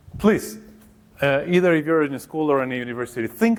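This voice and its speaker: A man speaks with a Mexican accent at a fairly high pitch. His pitch swings very widely. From Mexico. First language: Spanish. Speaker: professor of education. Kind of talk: workshop presentation. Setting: seminar room with audience.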